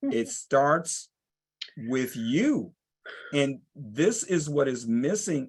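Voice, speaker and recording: The background is quiet as a man speaks at a medium pitch. His tone is passionate. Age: 60s. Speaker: entrepreneur and teacher, blind panelist. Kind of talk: panel discussion. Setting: video call. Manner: emphatic, passionate.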